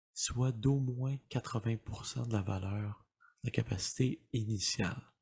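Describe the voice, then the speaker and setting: A soft-spoken, somewhat breathy man whispering at a very slow pace. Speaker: dad-advice YouTuber, ASMR-style. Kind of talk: casual explanatory talk to camera. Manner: soft-spoken, whispered.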